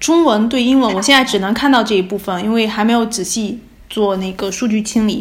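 Somewhat breathy and fairly quick, a woman speaks in a fairly high pitch with ordinary pitch variation and audible room echo. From China, Fujian province. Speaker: postdoctoral researcher in theatre and culture. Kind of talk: casual conversational interview. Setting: remote call from abroad.

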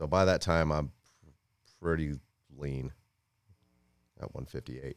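Very deep and low in pitch, a man with an American accent speaks at a fairly slow pace with fairly even intonation and long, frequent pauses. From Florida. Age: 40s. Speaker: martial arts instructor. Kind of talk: casual interview.

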